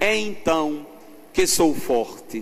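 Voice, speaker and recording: Recorded with audible room echo and noticeable background noise, a man's voice makes very wide pitch swings. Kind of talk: sermon. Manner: loud.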